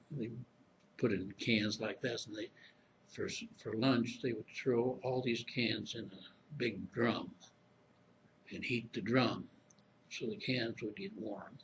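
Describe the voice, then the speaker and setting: Somewhat breathy, a man with an American accent speaks at a very slow pace with ordinary pitch variation. Long pauses come often. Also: medium pitch for a man. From Springfield, Illinois. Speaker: Korean War veteran. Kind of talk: oral history interview answer. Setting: interview room, library.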